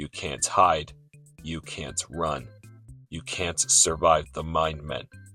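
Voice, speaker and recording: Using a put-on character voice, a man speaks very deep and low at a very slow pace, with long, frequent pauses, fairly even intonation and faint music in the background. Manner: menacing.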